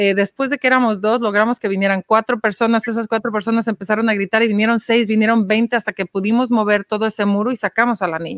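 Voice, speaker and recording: In an ordinary speaking voice, a woman talks at a fairly quick pace with fairly high pitch and fairly even intonation, the sound dry and close with no echo. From Mexico City. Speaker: social entrepreneur, nonprofit founder. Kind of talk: interview.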